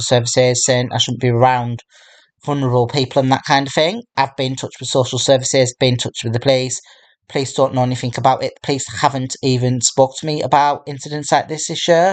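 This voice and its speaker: A man rattles along very fast, holding fairly even intonation at a medium pitch. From Darlington, England. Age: 30s. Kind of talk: casual talk to camera.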